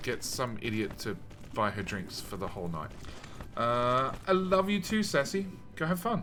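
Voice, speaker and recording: Over noticeable background noise and audible room echo, a man at medium pitch speaks at a moderate pace with very wide pitch swings. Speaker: video game streamer. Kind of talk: casual live-stream chat while gaming. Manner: loud; casual, filler-heavy.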